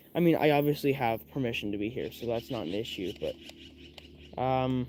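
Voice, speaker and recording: A quiet man's voice at a medium pitch. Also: ordinary pitch variation, moderate pace. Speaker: RC car hobbyist streamer. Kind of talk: casual live stream talk. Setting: outdoors in the woods. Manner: quiet, keeping voice down.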